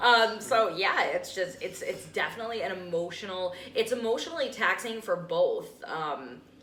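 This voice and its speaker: In a room with audible echo and noticeable background noise, a woman with a Rhode Island accent speaks at a moderate pace and a fairly high pitch. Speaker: podcast host. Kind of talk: casual chat.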